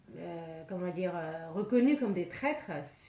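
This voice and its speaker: A woman speaks at medium pitch with audible room echo. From Laos (Hmong). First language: Hmong (speaking French). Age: 80s+. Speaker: refugee. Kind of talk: testimony. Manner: halting, many hesitations.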